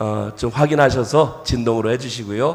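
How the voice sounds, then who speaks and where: Audible room echo and noticeable background noise accompany a man's voice. He speaks at medium pitch and a moderate pace with ordinary pitch variation. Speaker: pastor. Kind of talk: sermon. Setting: church.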